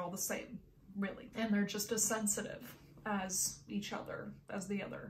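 With monotone, flat intonation and a medium pitch, a woman talks at a moderate pace as noticeable background noise carries on behind her. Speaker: houseplant YouTuber. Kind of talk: casual talk to camera.

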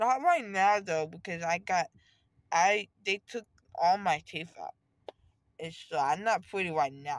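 Nothing stirs in the quiet background. No echo colors the dry sound. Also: woman. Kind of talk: casual vlog chat. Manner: swollen-mouthed, numb post-surgery speech. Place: car. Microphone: phone near.

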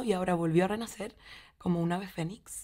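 In a Chilean accent, a woman speaks at a moderate pace with ordinary pitch variation over a quiet background. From Chile, Valdivia. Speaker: actress and theatre teacher; actress, theatre teacher. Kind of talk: interview monologue. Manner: halting, with repetitions and fillers. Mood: warm, thoughtful. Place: studio.

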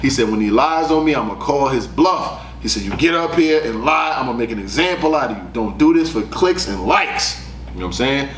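Audible room echo and light background noise surround the speaker. A man talks at a fairly quick pace. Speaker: battle rap commentator. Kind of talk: casual commentary. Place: studio.

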